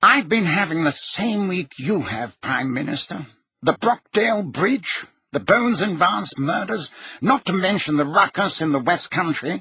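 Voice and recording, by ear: Putting on a character voice, a man speaks fairly slowly in a high, bright, sharp tone with a husky, rough edge and lively intonation.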